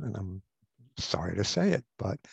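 A man's somewhat breathy voice comes through dry and close, with no echo. The background is quiet. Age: 70s. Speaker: psychotherapist and author. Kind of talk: interview.

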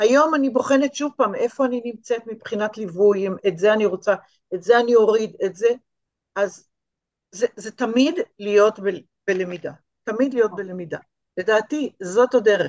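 A woman talks at a moderate pace with ordinary pitch variation. She leaves long, frequent pauses. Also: fairly high pitch for a woman. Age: 60s. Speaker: art teacher and small business owner. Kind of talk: interview.

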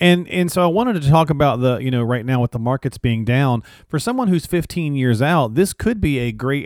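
A man with an ordinary speaking voice talks at medium pitch and a fairly quick pace with lively intonation, in a dry, close sound with no echo on a very clean recording with a silent background. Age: 40s. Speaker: podcast co-host. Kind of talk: casual interview about finances.

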